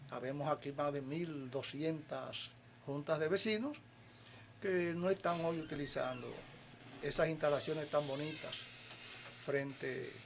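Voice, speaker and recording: A man's fairly high voice proceeds at a fairly slow pace, its pitch varying in an ordinary way. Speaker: community leader. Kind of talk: interview.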